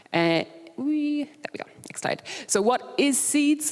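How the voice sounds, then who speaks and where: A woman is heard over noticeable background noise. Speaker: conference speaker. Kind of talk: conference presentation. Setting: stage with audience. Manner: fast; animated.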